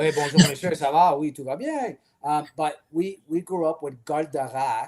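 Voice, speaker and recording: His pitch is fairly high and his intonation fairly even. The man keeps a moderate pace. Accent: Quebec. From Quebec, Canada. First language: French. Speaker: podcast co-host. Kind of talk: casual chat.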